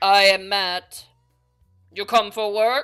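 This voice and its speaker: A female-sounding voice booms in a put-on character voice at a medium pitch. Music plays in the background. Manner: polite but stern.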